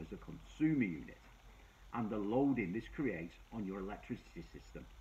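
A man is talking at a moderate pace. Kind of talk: explainer talk to camera. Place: office.

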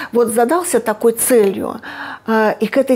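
A woman is speaking. Her pitch is fairly high and her pace fairly slow. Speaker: medical researcher. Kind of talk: interview. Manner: halting. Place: office. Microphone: lapel.

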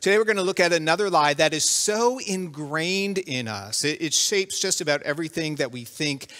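A man's fairly high-pitched voice with a bright, sharp tone, lively intonation and a moderate pace.

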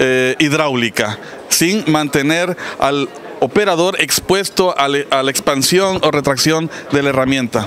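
Over light background noise, a man speaks at a very slow pace with ordinary pitch variation and very even loudness, in a dry sound with no echo. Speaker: company sales manager. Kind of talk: interview answer. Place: hall. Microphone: handheld.

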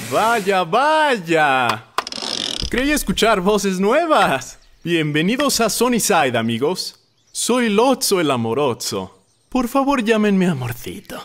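In a cartoonish character voice, a man speaks slowly at a high pitch, with a fairly bright tone and big pitch swings.

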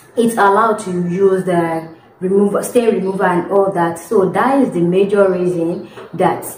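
With audible room echo and light background noise, a woman talks at a moderate pace with fairly even intonation. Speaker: domestic worker vlogger. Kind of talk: casual vlog chat. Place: home room. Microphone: phone near.

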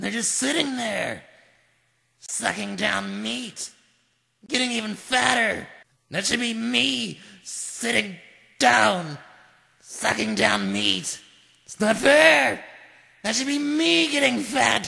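In a put-on character voice, a man speaks high-pitched and raspy. He goes at a very slow pace with long, frequent pauses. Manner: whiny, ranting.

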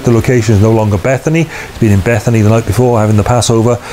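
Light background noise sits behind a man who talks at a very fast pace with fairly even intonation. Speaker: preacher. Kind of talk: sermon. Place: home room.

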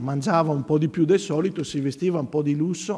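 Fairly high in pitch, the man's voice carries a dark, mellow tone. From Veneto, Italy. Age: 50s. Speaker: priest and church art educator. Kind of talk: conference talk.

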